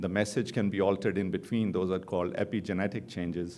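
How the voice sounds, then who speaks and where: A man with a non-native accent speaks in a very deep, low voice with a dark, mellow tone and fairly even intonation, amid audible room echo. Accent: foreign accent, noticeable. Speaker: oncologist. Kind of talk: conference lecture. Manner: fast.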